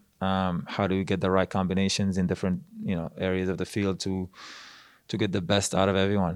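A man's very deep, low, monotone voice, very fast and flat, in a very clean recording with a silent background. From Morocco, near Casablanca. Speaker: soccer coach, former player. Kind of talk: casual interview. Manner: halting, many repetitions.

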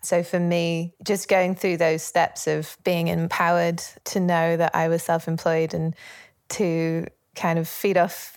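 In a Yorkshire accent, a woman speaks fairly slowly at a fairly low pitch with monotone, flat intonation, recorded very cleanly over a silent background. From northern England, Leeds, Yorkshire. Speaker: musician. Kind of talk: interview.

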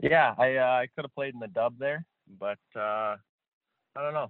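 A man talks at a moderate pace and medium pitch, his clear, smooth tone carrying ordinary pitch variation in a dry, close sound with no echo.

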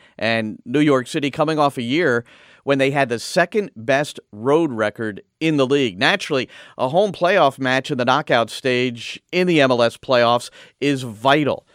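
In a very clean recording with a silent background and a dry, close sound with no echo, a man has an ordinary speaking voice, medium pitch and ordinary pitch variation. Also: fairly slow pace. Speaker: radio host. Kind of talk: radio show hosting and interview.

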